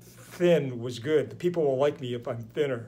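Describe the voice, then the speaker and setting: A man with an American accent, medium pitch and moderate pace. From United States. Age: 60s. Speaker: chiropractor. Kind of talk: interview. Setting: podcast. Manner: halting. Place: home room.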